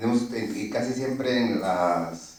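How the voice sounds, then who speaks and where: A man talks in a Guatemalan accent. Noticeable background noise and audible room echo surround him. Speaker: permanent deacon, audience member. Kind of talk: question from the audience. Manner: hesitant, many fillers.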